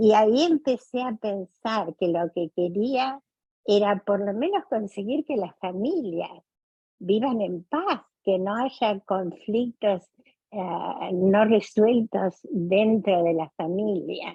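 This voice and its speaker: Speaking very slowly, a woman uses a medium pitch and lively intonation. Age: 80s+. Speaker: family therapist. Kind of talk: interview.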